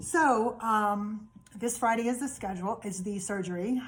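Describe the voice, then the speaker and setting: A woman with a somewhat breathy voice talks at a medium pitch with fairly even intonation. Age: 50s. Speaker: vlogger sharing health journey. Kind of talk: personal video diary. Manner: hesitant, many fillers.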